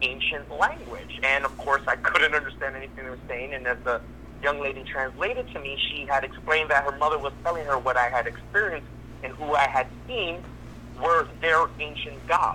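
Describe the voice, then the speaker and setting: A man's voice with big swings in loudness, set against noticeable background noise. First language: Spanish. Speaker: caller. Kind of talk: personal testimony.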